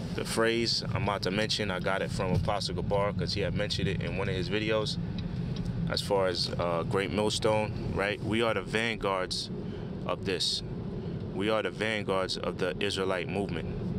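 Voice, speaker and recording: A man at a moderate pace, dry with no echo, amid loud background noise. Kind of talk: casual religious commentary. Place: car. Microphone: phone near.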